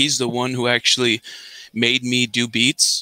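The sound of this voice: This voice has a strong Canadian accent and a bright, sharp tone. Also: man, dry, close sound with no echo.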